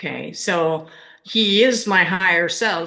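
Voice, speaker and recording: A woman speaks with a bright, sharp tone and ordinary pitch variation. Audible room echo surrounds her voice. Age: 60s. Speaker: spiritual author. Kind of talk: casual chat.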